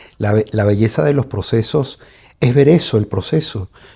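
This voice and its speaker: With lively intonation, a man at medium pitch sounds somewhat breathy and dark and mellow in tone, on a very clean recording with a silent background. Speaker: podcast host interviewing the guest. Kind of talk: interview question.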